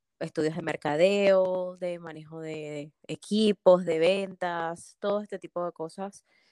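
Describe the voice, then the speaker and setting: At a very slow pace, a woman speaks at a fairly low pitch in a dark, mellow tone with fairly even intonation and big swings in loudness, the sound dry and close with no echo and the recording very clean over a silent background. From Venezuela. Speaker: pharmacist and business consultant. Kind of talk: interview.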